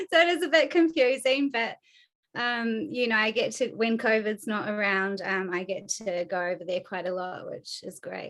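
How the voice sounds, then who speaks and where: In a New Zealand accent, a woman speaks at a fairly high pitch with lively intonation. The recording is very clean, with a silent background. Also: moderate pace. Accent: Kiwi. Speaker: animal rights activist. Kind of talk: podcast interview. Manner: many filler ums.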